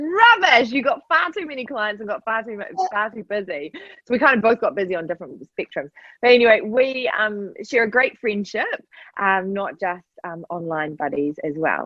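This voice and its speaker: A woman speaks in an enthusiastic tone with a fairly high voice, very wide pitch swings and big swings in loudness. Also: moderate pace. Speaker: podcast host. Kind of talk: podcast interview, host talk. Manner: enthusiastic, chatty.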